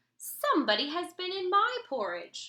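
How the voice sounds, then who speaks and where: A woman growls in a put-on character voice at an extremely high pitch. Her pitch swings very widely while she keeps a moderate pace. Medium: read story.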